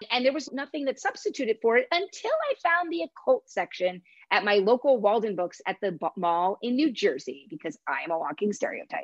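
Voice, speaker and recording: With hardly any pauses, a woman talks at a moderate pace in a high pitch, her voice making very wide pitch swings in a dry, close sound with no echo. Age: 40s. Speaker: author and horror readers' advisory expert. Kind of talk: casual interview.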